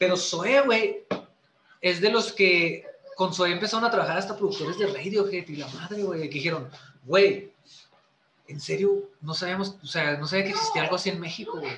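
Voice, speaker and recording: Long, frequent pauses break up a man's fairly quick, high-pitched speech, which swings widely in loudness. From Chihuahua, northern Mexico. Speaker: musician. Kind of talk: casual chat.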